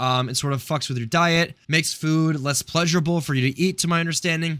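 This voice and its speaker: In a very clean recording with a silent background, a bright, sharp voice races along at a very fast pace with fairly even intonation. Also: man, fairly high pitch for a man. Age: 20s. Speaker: YouTuber. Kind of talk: casual channel update vlog. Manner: casual, filler-heavy.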